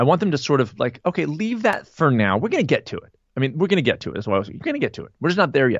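Speaking very fast with hardly any pauses, a man uses a fairly high pitch with very wide swings, big jumps in loudness, and vocal fry. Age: 50s. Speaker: nutritionist and running coach. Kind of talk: casual chat.

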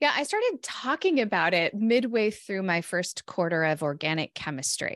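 A woman with a West Coast accent talks at a moderate pace with very wide pitch swings and hardly any pauses, in a dry, close sound with no echo. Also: medium pitch for a woman. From California. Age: 40s. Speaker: psychologist and author. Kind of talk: podcast interview. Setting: remote call.

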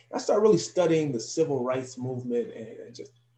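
A man talks with an American accent and a dark, mellow tone. His voice is somewhat breathy. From New Jersey, US. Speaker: professor and youth educator. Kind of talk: interview.

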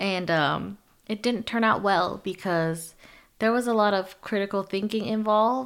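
Heard on a very clean recording with a silent background, a woman with an American accent and an unremarkable speaking voice talks at a moderate pace, with a medium pitch and ordinary pitch variation. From US, Chinese American family. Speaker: podcast host. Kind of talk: casual chat.

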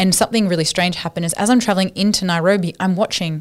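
A woman with an Australian accent speaks at a fairly low pitch with ordinary pitch variation. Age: 30s. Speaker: charity worker against human trafficking. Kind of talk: interview.

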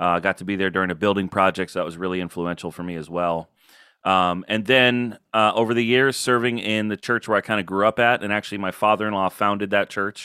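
Very fast, fairly low-pitched man with an American accent, bright, sharp tone and fairly even intonation, dry, close sound with no echo, very clean recording and silent background. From Florida, US. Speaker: pastor. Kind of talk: interview.

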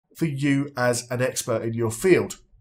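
The man's voice is somewhat breathy. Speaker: podcast host. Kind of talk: podcast interview.

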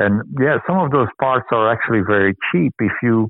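Speaking fairly slowly with a Flemish accent, a man uses a fairly low pitch. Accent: Belgian (Flemish) English. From Belgium. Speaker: reuse and repair charity manager. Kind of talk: interview. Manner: halting, many fillers.

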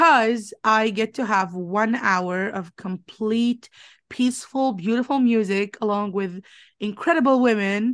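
Fairly slow speech with ordinary pitch variation on a very clean recording with a silent background. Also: woman. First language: not English. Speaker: podcast co-host, business owner. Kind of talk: casual chat. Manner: animated.

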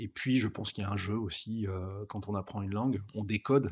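A man's fairly low, somewhat breathy voice at a moderate pace, with fairly even intonation, on a very clean recording with a silent background. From northern France (Pas-de-Calais mining basin, Liévin near Lens). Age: 40s. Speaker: automotive communications executive. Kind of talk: interview. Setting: at the guest's home.

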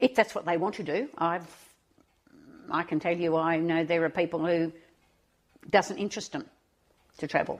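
The speaker talks at a moderate pace with an Australian accent and ordinary pitch variation, pausing long and often. The recording is very clean, with a silent background. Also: woman, fairly low pitch for a woman. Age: 80s+. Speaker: retiree and volunteer. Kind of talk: interview.

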